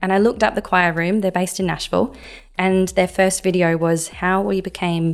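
A woman with an Australian accent, medium pitch, moderate pace and a flat, monotone delivery. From Adelaide, South Australia. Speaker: church music minister. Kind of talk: interview. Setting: studio.

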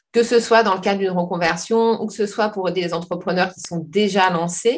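With an unremarkable speaking voice, a woman talks at a moderate pace, her medium pitch held in fairly even intonation. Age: 40s. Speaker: personal development coach. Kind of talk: interview.

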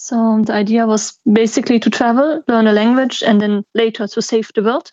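A woman with a German accent speaks at a fairly high pitch and a moderate pace, with hardly any pauses. Her intonation is fairly even, and the sound is dry and close with no echo. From German-speaking Belgium. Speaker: traveller and NGO worker. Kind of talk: casual interview.

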